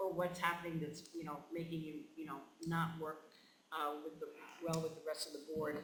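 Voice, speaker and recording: A man's fairly high voice in monotone, flat intonation, with audible room echo and noticeable background noise. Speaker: board trainer, former superintendent. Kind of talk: training presentation. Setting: school board meeting. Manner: fast; halting, many fillers.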